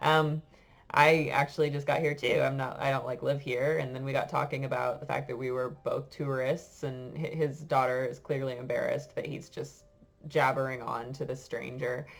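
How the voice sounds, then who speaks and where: A woman's very deep, low voice at a moderate pace, monotone and flat, with music in the background. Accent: American. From United States. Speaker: French teacher. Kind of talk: casual storytelling to class. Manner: hesitant, many fillers.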